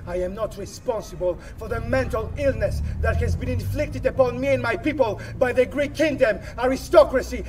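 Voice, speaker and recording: A man speaks in an angry tone at a moderate pace, with big swings in loudness and hardly any pauses, over light background noise. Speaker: actor performing monologue. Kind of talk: rally speech. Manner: forceful, defiant; emphatic, repetitive, angry. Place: open country.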